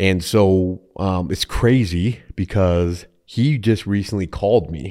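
In a Minnesotan accent, a man speaks at a very slow pace in a very deep, low voice with a dark, mellow tone. His pitch varies in an ordinary way, and the recording is very clean with a silent background. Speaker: insurance agent. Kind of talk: casual interview chat. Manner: laughs often, easygoing.

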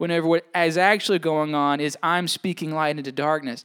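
A man with an American accent is heard on a very clean recording, the background completely silent. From Mississippi. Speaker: pastor. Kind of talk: sermon. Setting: church.

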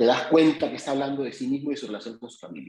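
A plain, everyday voice with lively intonation. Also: man. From Peru. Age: 50s. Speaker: playwright. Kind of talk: casual chat.

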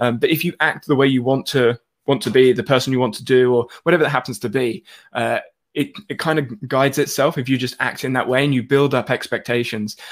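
In an enthusiastic tone, a man with a medium-pitched voice speaks at a fairly quick pace. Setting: live stream, video call. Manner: fast, enthusiastic talker.

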